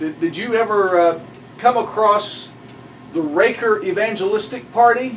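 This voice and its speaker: A man speaks with a high pitch. Noticeable background noise sits behind him. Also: ordinary pitch variation, moderate pace. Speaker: pastor. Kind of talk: casual conversation.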